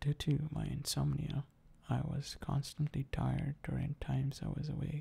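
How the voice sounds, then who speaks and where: Soft-spoken, a man talks at a moderate pace. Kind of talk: ASMR talk to camera about personal experience.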